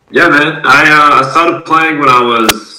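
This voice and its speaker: With an Australian accent, a man speaks fairly slowly at a fairly high pitch. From Adelaide, South Australia. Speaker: semi-professional basketball player and content creator. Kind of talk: casual interview.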